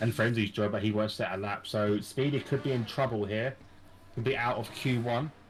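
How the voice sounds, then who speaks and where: A man talks at a fairly quick pace with a British accent. His voice is somewhat breathy. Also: medium pitch for a man. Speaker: sim racing commentator. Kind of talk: live commentary. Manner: animated.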